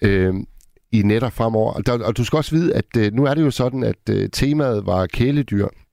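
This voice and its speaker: The sound is dry and close with no echo, and the loudness very even. A man speaks at a medium pitch in a dark, mellow tone with ordinary pitch variation. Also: moderate pace. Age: 50s. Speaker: radio host. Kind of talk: late-night call-in radio. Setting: studio.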